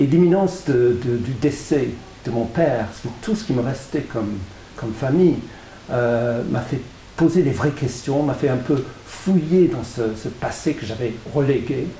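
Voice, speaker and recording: Noticeable background noise and audible room echo surround a man with an English accent. He speaks at a fairly slow pace with a medium pitch and ordinary pitch variation. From England. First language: English (speaking French). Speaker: author. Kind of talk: interview. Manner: halting, frequent repetitions.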